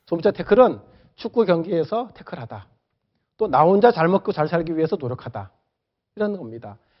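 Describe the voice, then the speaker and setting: A man speaks at a fairly quick pace in a high voice, with very wide pitch swings and big swings in loudness. He leaves long, frequent pauses. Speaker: professor. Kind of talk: lecture.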